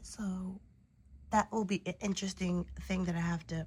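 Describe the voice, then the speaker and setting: A woman's medium-pitched, somewhat breathy voice with fairly even intonation. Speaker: doll collector vlogger. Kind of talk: casual haul video. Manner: casual, filler-heavy.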